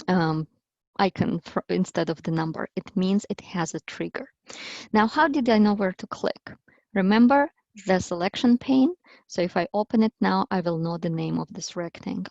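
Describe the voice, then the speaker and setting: An unremarkable speaking voice moves at a moderate pace with lively intonation, the sound dry and close with no echo over a quiet background. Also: woman, medium pitch for a woman. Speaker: language teaching workshop presenter. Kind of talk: tutorial.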